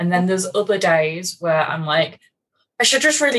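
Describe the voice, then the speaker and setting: With a plain, everyday voice, a woman speaks fairly low in pitch, showing ordinary pitch movement. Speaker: guest, course attendee after pregnancy loss. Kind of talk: casual chat.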